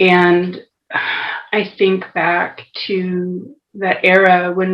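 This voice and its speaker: This is a woman speaking. Her pitch is medium. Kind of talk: testimony in conversation.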